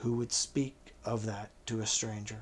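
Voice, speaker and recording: This man uses a put-on character voice, raspy and growling. His pace is fairly slow. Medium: read story. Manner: sullen, growling.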